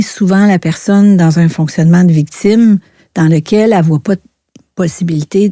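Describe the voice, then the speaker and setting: A woman's fairly low, somewhat breathy voice with a dark, mellow tone, fairly slow pace and ordinary pitch variation on a very clean recording with a silent background. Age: 60s. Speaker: therapist and author. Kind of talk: podcast interview testimony. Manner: hesitant, many fillers.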